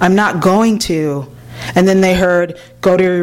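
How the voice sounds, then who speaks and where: Over noticeable background noise, a woman talks at a fairly slow pace with fairly even intonation. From Los Angeles, California. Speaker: author. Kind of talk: reading aloud. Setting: bookstore event with live audience.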